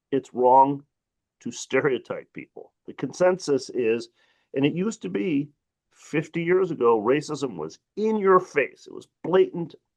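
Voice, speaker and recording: The sound is dry and close with no echo as a man speaks with a Midwestern accent. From Detroit, US Midwest. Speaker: civil rights advocate, panelist. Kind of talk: webinar panel talk. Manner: animated.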